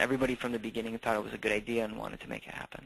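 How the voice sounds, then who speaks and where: With a Minnesotan accent, a man speaks at medium pitch in a bright, sharp tone. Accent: Minnesota. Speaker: campus food program director. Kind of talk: webinar presentation. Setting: online webinar call.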